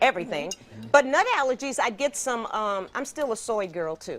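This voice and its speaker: A woman speaks in a high pitch with very wide pitch swings. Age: 60s. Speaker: holistic health host. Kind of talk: cooking demonstration. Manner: casual, chatty.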